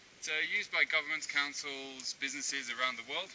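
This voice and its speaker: Very fast male speech against noticeable background noise. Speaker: zipline tour guide. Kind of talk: tour guide explanation to a group. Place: forest. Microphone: camera far.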